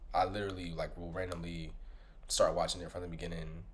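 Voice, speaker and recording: A man speaks with audible room echo. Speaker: podcast host. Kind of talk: casual monologue recap. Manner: animated, conversational.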